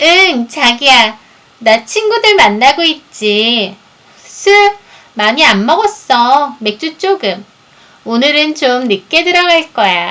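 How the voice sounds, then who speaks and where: A woman speaks in a nasal, put-on character voice, pitched high with very wide swings, at very even loudness and a fairly slow pace. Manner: sweet, coaxing, affectionate.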